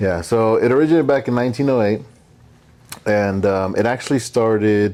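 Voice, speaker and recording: Talking at a fairly quick pace, a man holds very even loudness at a medium pitch with ordinary pitch variation. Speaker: podcast co-host. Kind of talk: casual chat. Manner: casual, profane, with hesitations.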